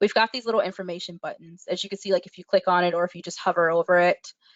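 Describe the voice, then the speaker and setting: Her speech races along very fast. The woman's voice sits at a medium pitch. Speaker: webinar presenter. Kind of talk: tutorial. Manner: trails off at sentence ends.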